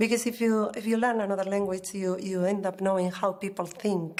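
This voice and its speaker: In a Spanish accent, a woman speaks at a moderate pace. Her medium pitch stays in a monotone, flat intonation. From Basque Country, northern Spain. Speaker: exam candidate, library worker. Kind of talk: exam interview. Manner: hesitant.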